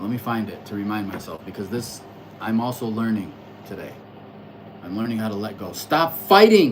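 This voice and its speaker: Moderate-paced speech broken by long, frequent pauses, with noticeable background noise. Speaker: astrology livestreamer. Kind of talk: casual livestream monologue. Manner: loud.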